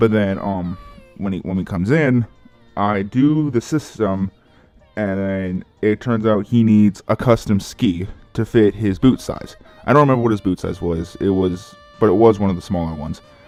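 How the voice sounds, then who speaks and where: Music plays in the background. A man speaks at a fairly low pitch with ordinary pitch variation. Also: moderate pace. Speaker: YouTuber and ski rental shop worker. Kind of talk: casual vlog monologue. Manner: halting, with stutters and self-corrections.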